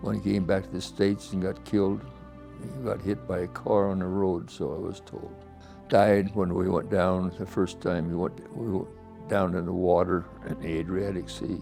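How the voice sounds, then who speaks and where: Over music in the background, a man with an American accent talks at a moderate pace in a very deep, low pitch with ordinary pitch variation. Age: 90s. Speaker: war veteran. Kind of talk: interview testimony. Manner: halting.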